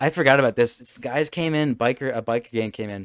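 Recorded very cleanly against a silent background, a man with an American accent speaks at a fairly quick pace and medium pitch. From United States. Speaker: podcast host. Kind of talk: casual chat. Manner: halting.

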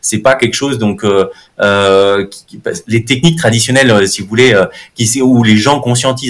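The delivery is fairly quick, its pitch varying in an ordinary way. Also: man. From France, Haute-Savoie. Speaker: neuromarketing professor. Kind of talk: interview.

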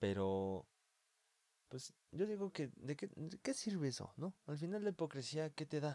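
With a Mexican accent, a man speaks fairly slowly in a fairly high, dark and mellow voice that swings very widely in pitch. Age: 20s. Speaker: guest, host's friend. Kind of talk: casual chat.

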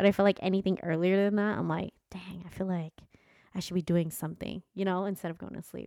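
A woman talks at a fairly quick pace in a medium pitch, with a dark, mellow tone and a monotone, flat intonation. Her loudness swings widely, and the sound is dry and close with no echo. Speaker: podcast co-host. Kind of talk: casual chat.

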